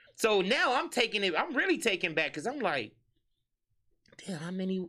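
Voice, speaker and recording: On a very clean recording with a silent background, a man with a high pitch projects a raised voice with a bright, sharp tone, very wide pitch swings and a moderate pace. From Harvey, Illinois (Chicago area). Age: 30s. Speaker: club host and event promoter. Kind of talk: casual interview.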